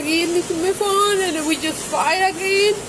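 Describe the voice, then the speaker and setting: A woman speaks at an extremely high pitch. Noticeable background noise is present. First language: not English. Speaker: domestic disturbance complainant. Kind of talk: police bodycam interview. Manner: halting, many repetitions.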